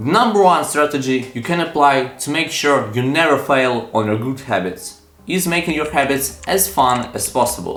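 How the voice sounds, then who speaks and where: With music in the background, a man speaks at a moderate pace in a fairly high voice. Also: lively intonation, hardly any pauses. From Ukraine. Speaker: self-improvement youtuber. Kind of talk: motivational talk to camera.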